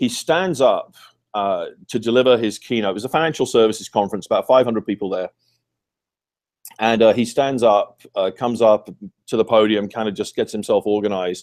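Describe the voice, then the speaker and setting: With a British accent, a man speaks at medium pitch in a very clean recording with a silent background and a dry, close sound with no echo. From United Kingdom. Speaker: author and communications consultant. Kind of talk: interview answer.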